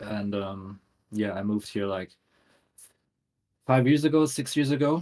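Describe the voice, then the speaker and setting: With a German accent, a man speaks at a moderate pace and fairly low pitch, his intonation lively and his pauses long and frequent. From Germany, near Düsseldorf. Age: 30s. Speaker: tattoo artist and graphic designer. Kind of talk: casual podcast interview.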